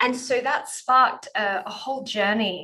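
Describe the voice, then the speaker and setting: A woman with an Australian accent, a bright, sharp tone, ordinary pitch variation and a moderate pace. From rural Australia. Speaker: sexologist and couples therapist. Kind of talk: interview. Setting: video call.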